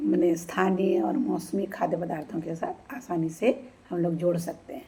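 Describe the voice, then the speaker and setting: This is an ordinary speaking voice from a woman, fairly low in pitch. Her pitch variation is ordinary. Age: 60s. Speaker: retired bank employee giving health tips. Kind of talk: informal health talk to camera.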